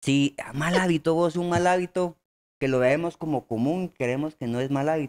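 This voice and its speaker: At a moderate pace, a man speaks with a Guatemalan accent. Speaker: comedy podcast co-host. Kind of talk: casual chat. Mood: relaxed, joking. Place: studio. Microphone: studio mic.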